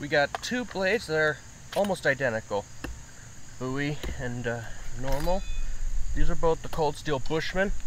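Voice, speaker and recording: Over light background noise and in a dry sound with no echo, a man speaks at a moderate pace with lively intonation and long, frequent pauses. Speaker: knife reviewer. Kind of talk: casual vlog chat. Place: garden.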